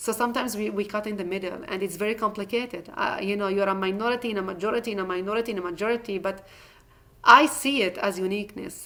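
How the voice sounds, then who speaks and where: At a very fast pace, a woman with an Israeli Arabic accent speaks at medium pitch in a bright, sharp tone with fairly even intonation. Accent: Israeli Arabic-speaking accent in English. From Israel, Druze community. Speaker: former politician and community emissary. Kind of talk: talk and Q&A. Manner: halting, with repetitions.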